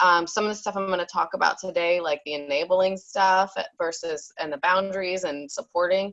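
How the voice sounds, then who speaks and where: A woman with an American accent talks at a fairly quick pace with hardly any pauses. Her pitch is medium and her intonation fairly even. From New York, Long Island. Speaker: therapist. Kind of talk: online summit talk. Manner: loud.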